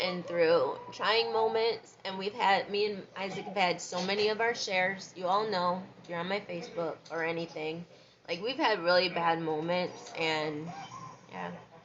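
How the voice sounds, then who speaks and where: Noticeable background noise sits behind a woman's voice. She speaks slowly-ish, at medium pitch, with lively intonation. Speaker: vlogger. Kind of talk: casual monologue vlog. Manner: soft-spoken.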